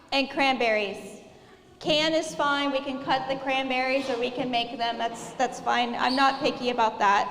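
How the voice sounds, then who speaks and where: A soft-spoken woman talks at a fairly slow pace and a high pitch, with fairly even intonation. Audible room echo and noticeable background noise are present. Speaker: cooking class instructor for children. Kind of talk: live cooking class instruction.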